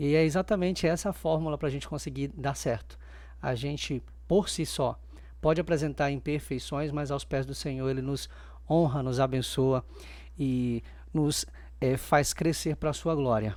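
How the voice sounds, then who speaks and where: A man at a moderate pace with long, frequent pauses, on a very clean recording with a silent background. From Maranhão, Brazil. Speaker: doctor, church member. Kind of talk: podcast interview, testimony.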